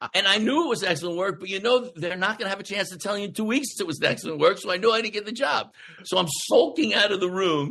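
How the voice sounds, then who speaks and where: A man's raised, projected voice, high-pitched and very fast, with lively intonation. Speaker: actor. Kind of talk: casual chat. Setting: podcast interview.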